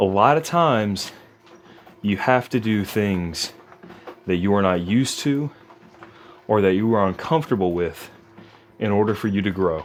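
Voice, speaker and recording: A man speaks at a moderate pace with very even loudness over noticeable background noise. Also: fairly low pitch for a man. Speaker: fitness vlogger. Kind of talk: casual vlog monologue. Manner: quiet, not naturally loud; halting with fillers.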